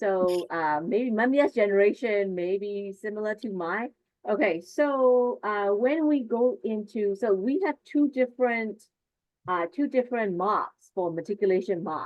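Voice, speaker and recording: Her pitch medium and her intonation lively, a woman speaks at a fairly slow pace in a Burmese accent. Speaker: teacher trainer. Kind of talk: online workshop presentation.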